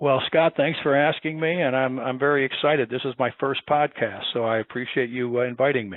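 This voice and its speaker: A man with an American accent speaks in a normal speaking voice at medium pitch. His intonation stays fairly even, and he takes hardly any pauses. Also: fairly quick pace. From Chicago, US Midwest. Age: 60s. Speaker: building engineering consultant. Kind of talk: interview.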